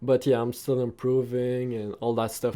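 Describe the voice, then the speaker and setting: This man speaks with a non-native accent. His tone is dark and mellow. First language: not English. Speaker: anime reaction YouTuber. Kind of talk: casual reaction commentary, reading manga aloud. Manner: hesitant, many fillers.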